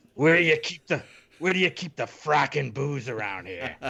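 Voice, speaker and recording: A man puts on a gruff character voice at a fairly high pitch, speaking at a moderate pace. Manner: gruff, gritty.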